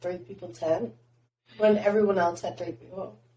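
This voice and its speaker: Fairly low in pitch with a dark, mellow tone and vocal fry, a woman speaks at a moderate pace with lively intonation. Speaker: podcast host. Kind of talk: casual chat.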